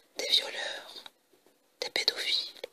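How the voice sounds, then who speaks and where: Someone whispers over noticeable background noise. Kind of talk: ASMR review of a TV series box set. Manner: whispered.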